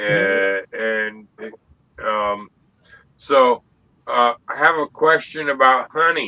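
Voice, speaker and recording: A man's medium-pitched voice, very slow and broken by long, frequent pauses, with lively intonation and a dry, close sound free of echo. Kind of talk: casual chat. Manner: halting.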